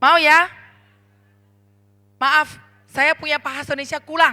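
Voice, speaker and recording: A woman's high-pitched voice, raised and projected, with a bright, sharp tone. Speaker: network marketing leader. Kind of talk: motivational speech. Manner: animated.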